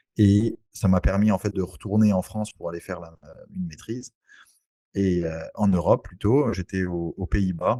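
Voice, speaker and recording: A man's fairly low, dark, mellow voice at a moderate pace, with ordinary pitch variation, big swings in loudness, and a dry, close sound with no echo. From French Antilles (Saint-Barthélemy). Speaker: real estate investor. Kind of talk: podcast interview. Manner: hesitant, many fillers.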